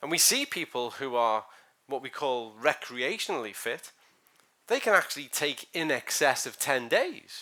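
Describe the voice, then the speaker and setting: On a very clean recording with a silent background, a man speaks loudly at a moderate pace, his tone bright and sharp and his pitch swinging very widely. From Ireland and Scotland. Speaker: sports scientist. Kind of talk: lecture. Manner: animated.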